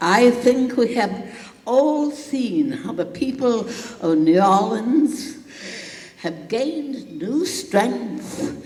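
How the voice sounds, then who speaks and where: Noticeable background noise sits under a woman's high voice. She speaks very slowly with lively intonation. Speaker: political activist. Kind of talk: keynote speech.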